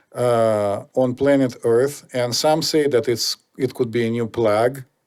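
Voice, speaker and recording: A man speaks fairly slowly at a medium pitch. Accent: Russian. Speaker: podcast host. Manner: hesitant, many fillers.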